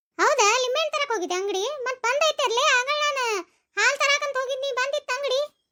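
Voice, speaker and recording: Using a squeaky put-on character voice at an extremely high pitch, a woman speaks at a moderate pace with ordinary pitch variation. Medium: cartoon. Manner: sharp, suspicious.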